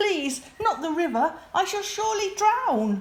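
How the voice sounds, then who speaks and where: In a put-on character voice, a woman speaks fairly slowly at an extremely high, squeaky pitch, shaky and with very wide pitch swings. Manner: pretending to be afraid.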